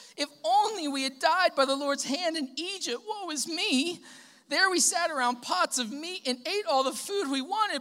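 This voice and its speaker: A woman uses a put-on character voice, pitched extremely high and sounding whiny. Her pace is moderate. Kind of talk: not preacher-like. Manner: whiny, pitiful.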